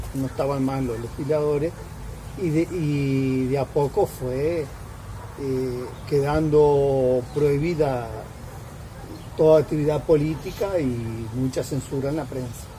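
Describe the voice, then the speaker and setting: A man's fairly high voice at a very slow pace, with long, frequent pauses and noticeable background noise. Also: fairly even intonation. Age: 70s. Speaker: retiree interviewee. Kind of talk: interview. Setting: at home.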